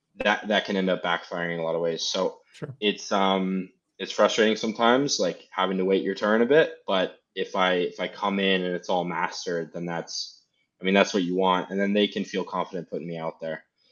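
A man speaks fairly quickly with an American accent. His pitch is fairly low, with ordinary variation. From Seattle, US. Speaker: rugby player. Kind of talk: casual interview.

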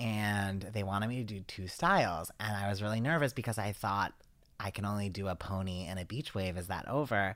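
Fairly low male voice, fairly quick in pace and with ordinary pitch variation. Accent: slight East Coast US. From US East Coast. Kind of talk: casual chat.

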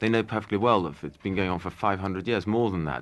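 A man with a normal speaking voice, fairly low in pitch, with ordinary pitch variation. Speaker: magazine editor and environmental activist. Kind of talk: interview.

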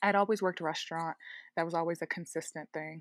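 Someone with an American accent speaks in a dry, close recording with no echo. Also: woman. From US, Baltimore, Maryland. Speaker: illustrator and muralist. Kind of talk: interview conversation. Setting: at home, remote interview. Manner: animated.

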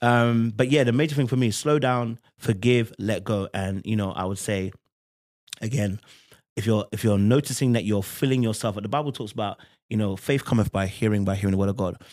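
A man's fairly low voice with a London accent and ordinary pitch variation. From London, England. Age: 30s. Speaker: podcast guest. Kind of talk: casual chat.

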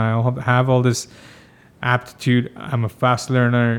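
The delivery has monotone, flat intonation. The pace is moderate. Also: man. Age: 40s. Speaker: TV producer and music video director. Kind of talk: interview. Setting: studio.

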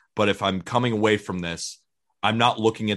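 A man with a plain, everyday voice speaks at a fairly low pitch. His intonation is fairly even, and the background is quiet. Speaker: baseball podcast host. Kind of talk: casual chat.

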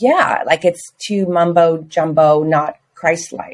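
A woman talks with a normal speaking voice at a fairly low pitch. Her pitch varies in an ordinary way. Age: 60s. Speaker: yoga student. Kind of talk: casual chat.

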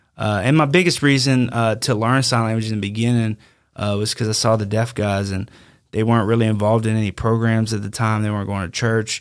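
On a very clean recording with a silent background, the voice rushes along at a very fast pace with fairly even intonation. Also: man, medium pitch for a man. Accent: Louisiana. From Louisiana, Denham Springs. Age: 30s. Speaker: former prison inmate, sign language interpreter. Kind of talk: interview, personal story.

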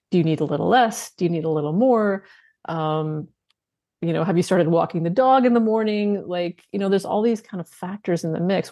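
A woman with a Canadian accent, fairly low pitch, an ordinary speaking voice, ordinary pitch variation and a fairly quick pace. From Canada. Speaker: nutrition coach and author. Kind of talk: interview.

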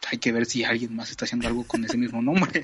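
Noticeable background noise runs beneath the audio. The man's intonation is lively. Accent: Mexican. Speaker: podcast co-host, historian. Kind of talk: casual chat.

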